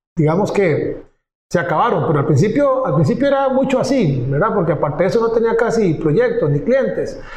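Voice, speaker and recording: The speech moves at a moderate pace with lively intonation. Room echo is audible. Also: man. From Costa Rica, Pérez Zeledón (south). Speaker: digital agency founder. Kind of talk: interview.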